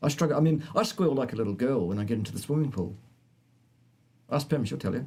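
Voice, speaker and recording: A man at medium pitch with a dark, mellow tone and vocal fry, very fast pace, lively intonation and long, frequent pauses. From New Zealand. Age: 50s. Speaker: health science presenter. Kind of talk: live stream Q&A chat.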